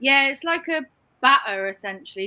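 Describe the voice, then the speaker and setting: A woman speaks in a raised, projected voice with a bright, sharp tone. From England, Cheltenham (Gloucestershire). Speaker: online reseller. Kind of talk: casual chat.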